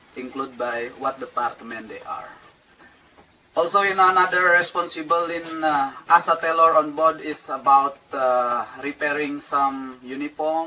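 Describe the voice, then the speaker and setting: A man talks at a fairly high pitch and a fairly slow pace, with ordinary pitch variation. His loudness swings widely, and there is noticeable background noise. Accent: Indonesian. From Indonesia. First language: Indonesian. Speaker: cruise ship tailor. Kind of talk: workplace interview. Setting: tailor shop on board a ship. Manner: halting.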